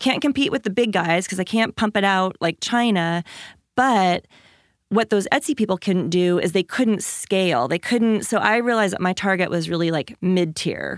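In a very clean recording with a silent background, the sound is dry and close with no echo. A woman with an American accent, medium pitch and an ordinary speaking voice talks at a moderate pace. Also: very even loudness. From Washington State, small rural town. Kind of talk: interview.

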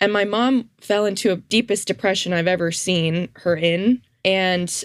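On a very clean recording with a silent background, a woman talks at a fairly slow pace in a normal speaking voice at a medium pitch. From Canada, Toronto suburbs. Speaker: former student, counseling student. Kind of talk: testimony.

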